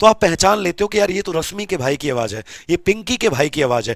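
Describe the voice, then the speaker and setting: Speaking at a moderate pace, a man uses an animated tone in a dry, close recording with no echo. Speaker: teacher. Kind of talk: lecture.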